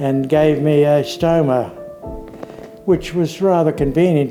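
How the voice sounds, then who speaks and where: Over noticeable background noise, a man with an Australian accent speaks slowly at a fairly high pitch, his intonation flat and monotone. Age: 70s. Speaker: COVID-19 survivor. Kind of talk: interview answer.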